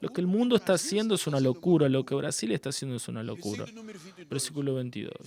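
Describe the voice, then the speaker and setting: Over noticeable background noise, a man talks very fast with lively intonation at a fairly high pitch. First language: Portuguese (speaking Spanish). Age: 60s. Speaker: pastor. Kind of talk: sermon. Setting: church.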